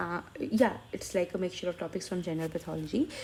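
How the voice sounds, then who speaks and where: A woman's dark, mellow tone with an Indian accent. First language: Hindi. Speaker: medical student teaching online. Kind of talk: tutorial. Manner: halting.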